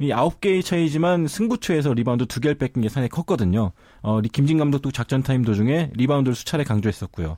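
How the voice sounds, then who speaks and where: Speaking very fast with hardly any pauses, a man has a dark, mellow tone at a medium pitch. His loudness stays very even, and the sound is dry and close with no echo. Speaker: basketball magazine editor. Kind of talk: radio studio analysis chat. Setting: studio.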